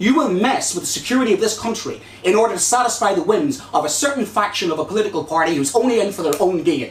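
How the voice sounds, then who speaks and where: A very fast, high-pitched man with a Northern Irish accent, over noticeable background noise. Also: lively intonation, hardly any pauses. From Northern Ireland. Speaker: election candidate. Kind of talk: hustings debate. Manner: impassioned.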